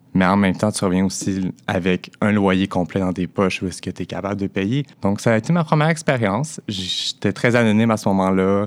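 The man talks at a moderate pace with a fairly low pitch. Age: 20s. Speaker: sex worker. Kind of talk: personal testimony. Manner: halting.

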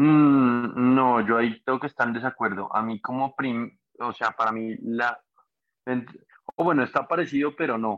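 A man at medium pitch talks at a fairly slow pace with fairly even intonation. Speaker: podcast host. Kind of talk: casual chat. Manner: halting.

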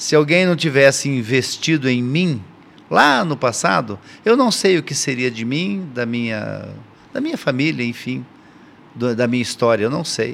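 A man with a plain, everyday voice speaks at a fairly slow pace, with medium pitch and ordinary pitch variation. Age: 60s. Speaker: church elder and mentor. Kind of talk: casual chat.

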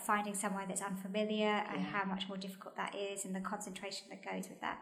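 Talking at a very fast pace in a monotone, flat intonation, a woman is heard with audible room echo and noticeable background noise. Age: 40s. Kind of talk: casual chat.

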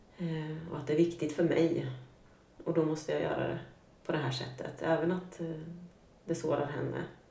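A woman's very deep, low voice with monotone, flat intonation, a moderate pace and long, frequent pauses, plus noticeable background noise and audible room echo. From Sweden, Norrköping. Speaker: guest sharing life story. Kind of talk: personal testimony in interview.

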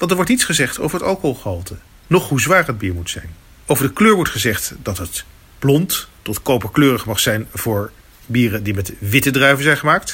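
A man with a Dutch accent speaks fairly quickly at medium pitch, with vocal fry. His pitch swings very widely. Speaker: beer video presenter. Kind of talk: documentary narration. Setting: on location at a beer competition.

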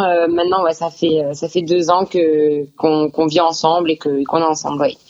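Speaking at a fairly slow pace, a woman uses a fairly low pitch. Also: hardly any pauses. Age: 20s. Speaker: bodybuilding competitor. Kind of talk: interview. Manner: hesitant, many fillers.

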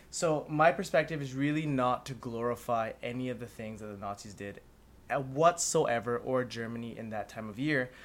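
A man with a plain, everyday voice speaks at a medium pitch with ordinary pitch variation, his loudness swinging widely. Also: moderate pace. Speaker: guest. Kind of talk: casual chat.

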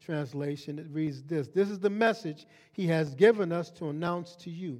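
A man talks in a high voice at a moderate speed. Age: 60s. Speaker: pastor. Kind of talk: sermon. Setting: church.

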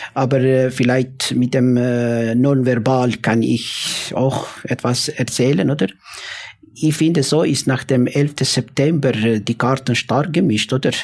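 The speech moves at a very slow pace with fairly even intonation and very even loudness. Noticeable background noise sits behind it. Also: man, medium pitch for a man. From former Yugoslavia. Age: 50s. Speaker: imam. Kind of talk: panel discussion. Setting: live audience in a café. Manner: halting.

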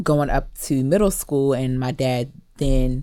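On a very clean recording with a silent background, a woman with an American accent speaks in a very deep, low voice. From Maryland, US (Cameroonian family). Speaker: lawyer. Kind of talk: radio interview. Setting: radio studio.

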